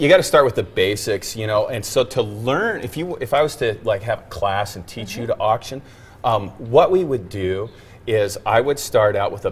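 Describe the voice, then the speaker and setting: This man has a medium pitch and a somewhat breathy voice. He talks at a moderate pace. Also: big swings in loudness. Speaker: celebrity auctioneer. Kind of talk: casual talk show interview answer. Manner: friendly, chatty.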